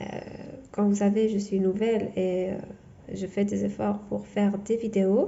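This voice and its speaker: With a non-native accent, a woman speaks at a medium pitch and a fairly slow pace, leaving long, frequent pauses. Her intonation is monotone and flat, and there is audible room echo. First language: not French (speaking French). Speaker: tarot reader. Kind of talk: tarot reading monologue; channel outro. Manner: halting, many fillers and repetitions.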